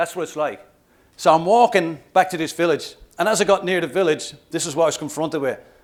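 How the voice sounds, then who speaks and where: Very fast and animated, a man speaks at a high pitch with an Irish accent. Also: very clean recording, silent background. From Ireland, Dublin. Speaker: motivational speaker and trek guide. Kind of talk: keynote speech.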